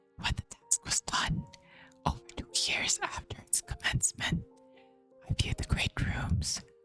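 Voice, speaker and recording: Someone whispers over music playing in the background. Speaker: streamer. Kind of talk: horror story reading. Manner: whispered.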